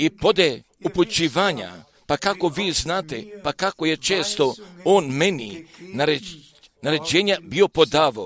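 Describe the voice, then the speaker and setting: A man speaks at a fairly slow pace in a fairly high voice with lively intonation and vocal fry. The sound is dry and close, with no echo. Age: 80s. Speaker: preacher. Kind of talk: sermon.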